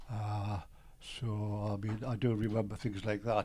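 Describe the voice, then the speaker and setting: A man with a Geordie accent speaks in a dark, mellow, somewhat breathy tone at a fairly low pitch and moderate pace. His intonation is monotone and flat, on a very clean recording with a silent background. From Newcastle, northern England (Byker). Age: 80s+. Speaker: retired businessman and composer. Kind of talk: interview storytelling. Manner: halting, with fillers.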